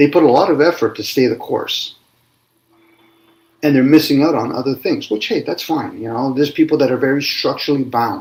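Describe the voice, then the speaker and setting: Here a man has an ordinary speaking voice, fairly high in pitch, with ordinary pitch variation. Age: 60s. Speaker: spiritual discussion host. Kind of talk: casual chat.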